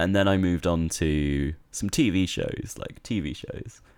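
A man's very deep, low voice with an English accent. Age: 20s. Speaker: university student and podcast co-host. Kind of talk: casual chat.

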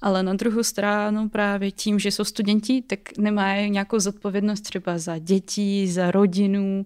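A woman with a Russian accent speaks at a fairly slow pace in a monotone, flat voice, in a very clean recording with a silent background. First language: Russian (speaking Czech). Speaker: student and startup co-founder. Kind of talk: interview.

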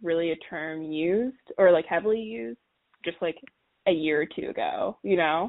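This woman has an unremarkable speaking voice, fairly low in pitch, with an American accent. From Washington, D.C. area. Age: 20s. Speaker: podcast guest. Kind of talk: casual chat.

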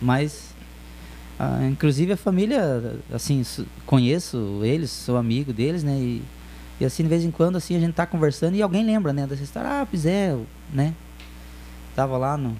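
At a moderate pace, a man talks. He leaves long, frequent pauses. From Telêmaco Borba, Paraná, Brazil. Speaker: DJ. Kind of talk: casual chat. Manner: halting.

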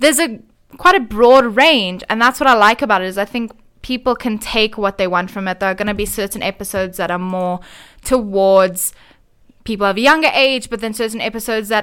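On a very clean recording with a silent background, a woman talks at a fairly quick pace in an ordinary speaking voice. Her pitch is fairly high, with ordinary pitch variation. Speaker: podcaster. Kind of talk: casual radio interview chat. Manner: relaxed, conversational.

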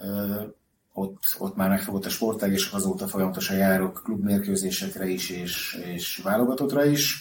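A man talks in a fairly low register at a moderate pace, his pitch varying in an ordinary way. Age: 40s. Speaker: hockey puck collector. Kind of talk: casual interview. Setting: at his home. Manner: halting, repeats words.

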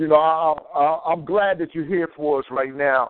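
At a fairly slow pace, a man with a fairly high pitch speaks. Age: 30s. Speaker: radio call-in host. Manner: energetic, informal, warm.

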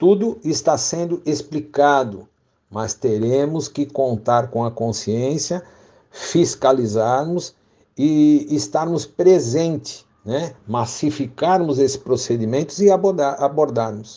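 A man with a dark, mellow tone talks at a very slow pace, fairly high in pitch, with lively intonation. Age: 60s. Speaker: professional condo manager, retiree. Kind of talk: interview. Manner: formal.

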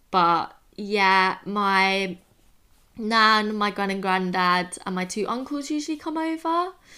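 A woman speaks at a very slow pace with lively intonation and a bright, sharp tone. The recording is very clean, with a silent background. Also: medium pitch for a woman. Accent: English. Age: 20s. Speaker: podcast co-host. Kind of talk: casual chat.

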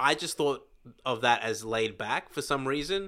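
In a very clean recording with a silent background, a man speaks at a medium pitch and a fairly slow pace, his tone bright and sharp and his pitch variation ordinary. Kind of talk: casual chat.

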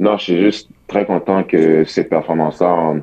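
A man with a very deep, low pitch and fairly even intonation. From Quebec. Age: young. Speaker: college basketball player. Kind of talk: radio interview. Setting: phone call.

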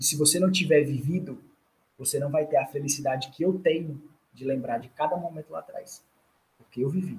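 With a fairly high pitch, a man speaks in a somewhat breathy voice. His pace is moderate. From Brazilian Northeast, Ceará (Fortaleza). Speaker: doctoral student in food engineering. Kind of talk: interview, casual chat.

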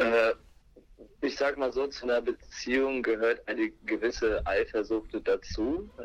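A man speaks at a fairly slow pace with very even loudness. His speech has long, frequent pauses. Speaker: podcast guest, friend of host. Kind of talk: casual chat. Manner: hesitant, many filler sounds. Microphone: telephone line.

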